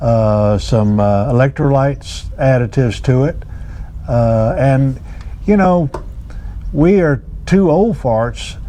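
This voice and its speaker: Over noticeable background noise, the speaker goes at a very slow pace with long, frequent pauses, very even loudness and lively intonation. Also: man, medium pitch for a man. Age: 70s. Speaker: angler. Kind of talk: casual chat. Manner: halting.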